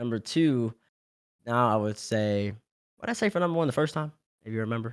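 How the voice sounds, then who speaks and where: On a very clean recording with a silent background, a medium-pitched man with an American accent sounds animated, his pitch varying an ordinary amount in a dry, close sound with no echo. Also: fairly quick pace. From US South, Louisiana (Baton Rouge). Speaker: esports player and analyst. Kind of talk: interview. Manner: fast.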